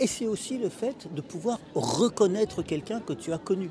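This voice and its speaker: A man speaking at a fairly slow pace, with crowd noise in the background. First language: Russian (speaking French). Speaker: writer and literary translator. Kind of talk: interview monologue. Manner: halting, with frequent hesitations and repetitions.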